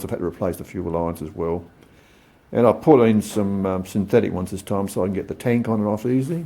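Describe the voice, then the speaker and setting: A man speaks fairly quickly with an Australian accent and a fairly low pitch. His tone is dark, mellow and relaxed. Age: 60s. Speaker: motorcycle hobbyist vlogger. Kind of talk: casual show-and-tell vlog. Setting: home workshop. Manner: relaxed, hesitant with many fillers.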